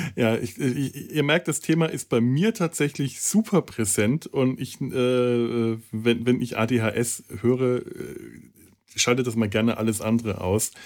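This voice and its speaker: A man's medium-pitched voice with ordinary pitch variation, at a very slow pace. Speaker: podcast host. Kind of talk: casual chat. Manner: halting.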